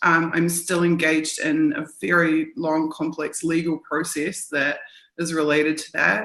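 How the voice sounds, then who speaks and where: Her fairly low voice stays monotone and flat as the woman speaks at a fairly slow pace. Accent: New Zealand. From New Zealand. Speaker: journalist and activist. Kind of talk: interview.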